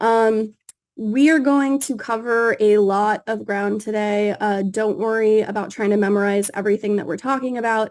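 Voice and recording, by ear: Her pitch sits at a medium level and her tone is slightly mellow. The woman's intonation is fairly even. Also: moderate pace.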